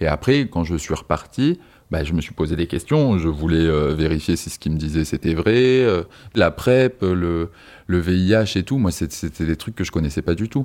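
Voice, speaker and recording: A man talks with lively intonation in a very deep, low voice. The recording is very clean, with a silent background. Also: moderate pace. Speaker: partner telling his story. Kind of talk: personal testimony.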